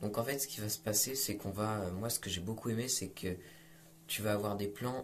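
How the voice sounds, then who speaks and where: This man talks at a moderate pace with ordinary pitch variation. Noticeable background noise and audible room echo surround his voice. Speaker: film critic YouTuber. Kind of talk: film review monologue. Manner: halting, many fillers.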